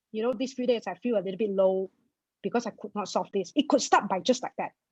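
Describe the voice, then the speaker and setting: A woman's very fast speech in a Malaysian accent, fairly high in pitch and somewhat breathy, with ordinary pitch variation and a dry, close sound with no echo. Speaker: personal finance blogger. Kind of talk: interview. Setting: webinar video call.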